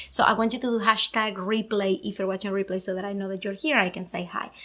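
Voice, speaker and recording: A woman's bright, sharp voice at fairly high pitch, with a Venezuelan accent, at a very fast pace. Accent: Venezuelan Spanish accent, noticeable. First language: Spanish. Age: 30s. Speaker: podcast host. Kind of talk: casual live video chat. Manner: energetic.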